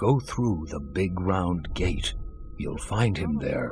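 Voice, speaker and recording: A man puts on a character voice with a very deep, low pitch. He speaks at a very slow pace over clear background noise. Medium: video game. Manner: condescending, amused.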